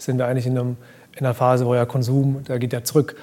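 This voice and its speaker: Over noticeable background noise, the speech comes at a very fast pace with monotone, flat intonation. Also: man. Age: 30s. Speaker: fashion brand founder. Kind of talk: casual chat. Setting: live event recording.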